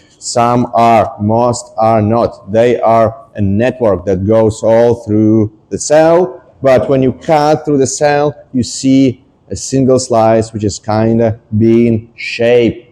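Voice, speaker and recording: A man speaks at a very slow pace with a non-native accent. His pitch is medium. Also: ordinary pitch variation. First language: not English. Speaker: scientist giving a public talk. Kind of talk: popular science talk. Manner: hesitant, many fillers.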